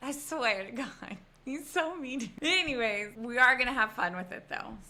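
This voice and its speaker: A woman speaks at a high pitch over noticeable background noise. Her loudness rises and falls in big swings. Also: lively intonation, moderate pace. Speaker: podcast host. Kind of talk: casual chat.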